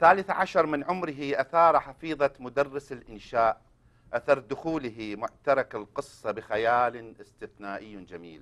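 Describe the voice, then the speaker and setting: A man speaks at a medium pitch with lively intonation and a fairly slow pace. His loudness swings widely, and he hardly pauses. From Iraq. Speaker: co-host. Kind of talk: scripted introduction and interview. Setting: studio. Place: studio.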